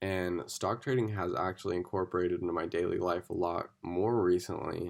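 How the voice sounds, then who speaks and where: A man with a very deep, low pitch speaks at a fairly quick pace with fairly even intonation on a very clean recording with a silent background. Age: 20s. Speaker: student. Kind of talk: class presentation. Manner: casual, filler-heavy (like, um).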